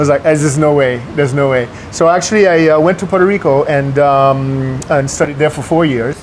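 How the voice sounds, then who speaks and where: Noticeable background noise accompanies a man with a fairly high pitch. He speaks at a fairly quick pace with hardly any pauses and fairly even intonation. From New York. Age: 60s. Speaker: businessman. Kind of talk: interview. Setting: restaurant. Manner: hesitant, many fillers.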